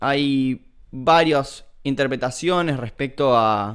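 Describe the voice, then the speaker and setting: A man speaks with an Argentine accent and ordinary pitch variation. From Argentina. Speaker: philosophy streamer. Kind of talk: livestream lecture. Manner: hesitant, many fillers.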